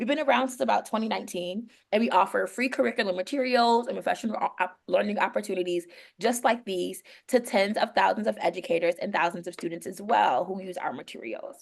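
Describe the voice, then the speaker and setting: A woman with an American accent talks at a very fast pace at medium pitch, with lively intonation and vocal fry. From New York. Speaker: educator, professional learning lead. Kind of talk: online workshop presentation. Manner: urgent.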